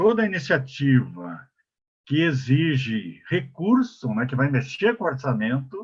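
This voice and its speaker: A man speaks at a fairly slow pace in a fairly high pitch. His voice is somewhat breathy, with very wide pitch swings. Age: 70s. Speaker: elderly rights council advocate, panelist. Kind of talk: webinar panel talk. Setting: online webinar. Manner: halting, many fillers and restarts.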